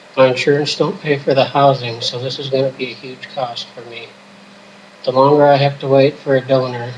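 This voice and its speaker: Noticeable background noise sits behind a man speaking in a monotone, flat intonation. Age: 20s. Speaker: patient appealing for donations. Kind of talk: personal appeal.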